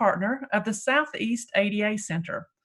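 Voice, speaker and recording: A woman with a somewhat breathy voice and ordinary pitch variation is heard on a very clean recording with a silent background. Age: 60s. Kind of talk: event introduction. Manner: hesitant with frequent fillers.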